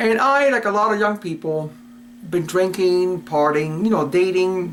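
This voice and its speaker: With an American accent, a man speaks at a high pitch and ordinary pitch variation. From Cuba and US Virgin Islands. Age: 60s. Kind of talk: personal testimony. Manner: casual, hesitant with fillers.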